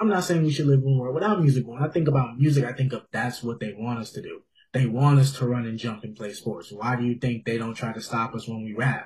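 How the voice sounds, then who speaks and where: A man with an American accent talks at a fairly quick pace in a somewhat breathy, medium-pitched voice. His tone is animated, with big swings in loudness. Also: ordinary pitch variation. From Houston, Texas. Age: 20s. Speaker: photographer. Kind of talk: casual chat.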